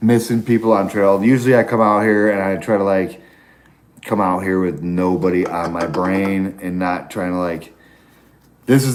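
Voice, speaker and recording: Audible room echo surrounds a man speaking at a moderate pace with a very deep, low pitch and ordinary pitch variation. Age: 40s. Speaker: long-distance hiker livestreaming. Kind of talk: casual live-stream chat.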